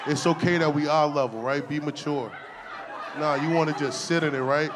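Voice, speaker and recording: A fairly high-pitched male voice comes through noticeable background noise. The pace is fairly quick, and the intonation stays fairly even. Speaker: stand-up comedian. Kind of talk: stand-up comedy set, crude, raunchy storytelling. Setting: stage with audience. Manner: deadpan, conversational, punchline-driven with self-laughs; casual slangy delivery, 'right?' tag after setups.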